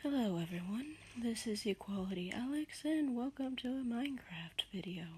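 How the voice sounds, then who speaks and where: Whispering at a moderate pace. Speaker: gaming streamer. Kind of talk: casual gameplay commentary with storytelling.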